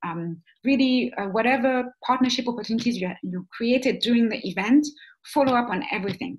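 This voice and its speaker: Lively intonation marks this woman's fairly high voice. She speaks at a fairly quick pace and sounds somewhat breathy. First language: not English (English is third language). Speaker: webinar trainer. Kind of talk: online training webinar. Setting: webinar. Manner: hesitant, many fillers.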